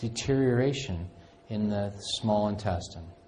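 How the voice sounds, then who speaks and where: Fairly slow speech with fairly even intonation and audible room echo. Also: man. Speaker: functional medicine clinician lecturer. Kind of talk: lecture.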